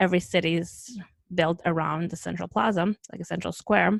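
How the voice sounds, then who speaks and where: In a Russian accent, a woman with a fairly low pitch and vocal fry talks at a moderate pace, the sound dry and close with no echo. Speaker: travel podcast host. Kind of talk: casual chat. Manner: animated.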